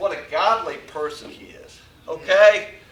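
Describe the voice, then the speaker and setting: A raised, projected voice with an American accent, with audible room echo and noticeable background noise. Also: man. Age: 60s. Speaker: former coach speaking at tribute. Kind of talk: tribute speech.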